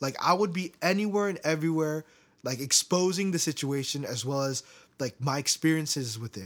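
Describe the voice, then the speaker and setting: Speaking in a plain, everyday voice with an American accent, a man has a fairly high pitch and lively intonation. The recording is very clean, the background silent. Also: fairly quick pace. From US, Korean American. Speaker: podcast host. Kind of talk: casual chat. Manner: laughs often.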